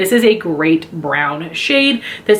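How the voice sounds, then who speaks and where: A woman's voice with noticeable background noise. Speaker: beauty YouTuber. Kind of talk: product review. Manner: fast.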